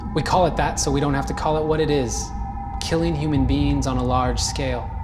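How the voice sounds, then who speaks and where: A man keeps a fairly quick pace while music sounds in the background. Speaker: spoken word poet. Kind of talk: spoken word poetry performance. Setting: live event stage.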